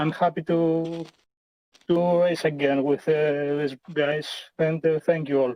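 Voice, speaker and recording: A man's high-pitched voice in monotone, flat intonation. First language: not English. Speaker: sim racing driver. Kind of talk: casual chat. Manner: halting.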